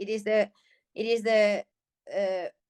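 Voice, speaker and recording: With a Finnish accent and fairly high pitch, a woman talks at a fairly slow pace, in a dry, close sound with no echo and music in the background. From Finland. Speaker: healer. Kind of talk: casual chat. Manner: halting.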